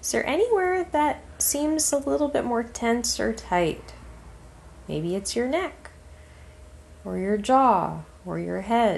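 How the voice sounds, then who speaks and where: Against noticeable background noise, a woman speaks very slowly in a calm, soothing tone, with long, frequent pauses. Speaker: meditation guide. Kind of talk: guided relaxation meditation, spoken as gentle instructions. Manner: slow, calm, soothing, with long pauses between phrases; soft-spoken and steady, giving gentle cues to breathe.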